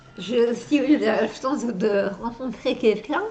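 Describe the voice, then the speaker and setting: Pitch varies in an ordinary way as the woman talks. Her pace is very slow. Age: 30s. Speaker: actress. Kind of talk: interview answer.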